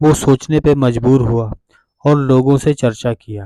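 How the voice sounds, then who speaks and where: A man's medium-pitched voice, dark and mellow in tone, carries fairly even intonation in a dry, close sound with no echo. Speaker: Islamic lecturer / religious content creator. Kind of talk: religious talk to camera.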